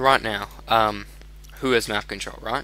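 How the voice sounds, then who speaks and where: A man with an American accent talks at a moderate pace. He mumbles. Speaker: video game tutorial creator. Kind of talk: gameplay commentary tutorial. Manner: mumbling; casual, many fillers.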